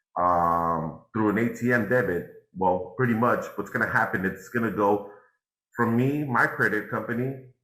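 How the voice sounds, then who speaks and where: Audible room echo surrounds a man with a bright, sharp tone and fairly low pitch. He talks at a moderate pace with ordinary pitch variation. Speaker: NFT and crypto instructor. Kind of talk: live workshop tutorial.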